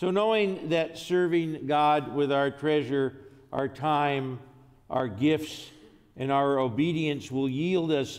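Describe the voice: A man talks at a slow pace. His tone is slightly mellow.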